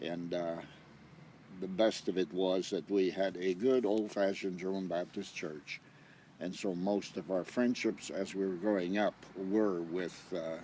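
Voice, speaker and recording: At a fairly slow pace, a man speaks with a very deep, low pitch, a dark, mellow tone and fairly even intonation. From Canada, rural Manitoba near Winnipeg. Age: 70s. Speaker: retired missionary. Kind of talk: life-story interview.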